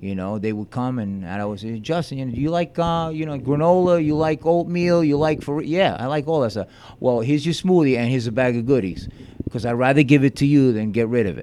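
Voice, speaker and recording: Very fast, lively intonation with an American accent. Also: man, medium pitch for a man. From Long Beach, New York. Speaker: juice bar co-owner. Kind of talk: casual interview chat.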